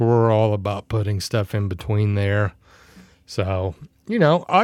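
In a normal speaking voice, a man talks at a fairly slow pace with a fairly low pitch, the sound dry and close with no echo on a very clean recording against a silent background. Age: 40s. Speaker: podcast co-host.

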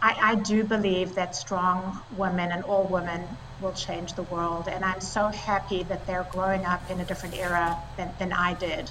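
A woman with a South African accent speaks at a moderate pace and medium pitch in monotone, flat intonation, with hardly any pauses and noticeable background noise. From South Africa, raised partly in Italy and France. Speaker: tech company co-founder and CEO. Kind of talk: interview.

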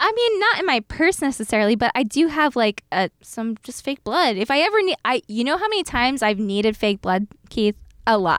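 In an American accent, a woman with a high pitch talks at a fairly quick pace with very wide pitch swings, the sound dry and close with no echo. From South Jersey, US Northeast. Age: 30s. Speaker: former media producer, haunted house operator. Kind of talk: casual chat.

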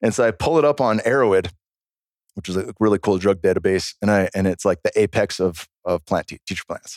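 At a fairly quick pace, a man with a plain, everyday voice and fairly low pitch speaks with ordinary pitch variation in a dry, close sound with no echo. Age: 40s. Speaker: former pro fighter and plant medicine practitioner. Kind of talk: casual chat.

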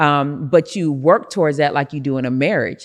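Someone with an American accent speaks at a moderate pace on a very clean recording with a silent background. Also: woman. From Rochester, New York, US. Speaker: prophetess and business CEO. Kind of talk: interview, faith and business talk.

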